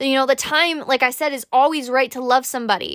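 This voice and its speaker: A woman with a high pitch and a bright, sharp tone speaks in an animated way on a very clean recording with a silent background. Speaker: podcast host. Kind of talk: pep talk. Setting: solo recording. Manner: warm, earnest.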